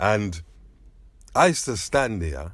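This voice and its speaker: Vocal fry runs through this fairly slow delivery, captured in a very clean recording with a silent background. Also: man. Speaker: sound system DJ, selector. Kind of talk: interview, reminiscing.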